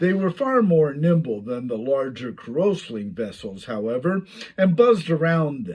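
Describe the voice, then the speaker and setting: Very wide pitch swings from a man with a fairly high voice. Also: moderate pace. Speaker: author reading own novel. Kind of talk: reading aloud. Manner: stuttering, with misreadings.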